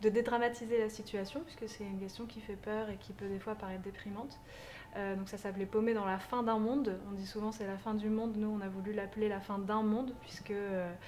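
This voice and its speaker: The speech comes at a fairly quick pace in monotone, flat intonation, with audible room echo and noticeable background noise. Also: woman, fairly high pitch for a woman. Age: 20s. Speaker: community organizer. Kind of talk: interview.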